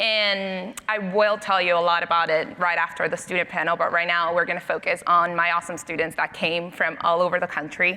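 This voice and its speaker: A woman with a Spanish accent speaks fairly quickly, with hardly any pauses. Her pitch is fairly low, her intonation monotone and flat, and her loudness very even. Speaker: panel moderator. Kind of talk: moderated panel discussion.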